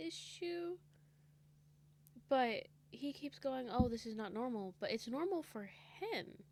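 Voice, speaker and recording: A soft-spoken woman, high in pitch, with very wide pitch swings. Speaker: reaction video creator. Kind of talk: casual reaction commentary.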